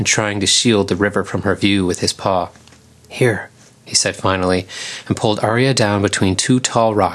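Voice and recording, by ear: Natural-voiced reading aloud with ordinary pitch variation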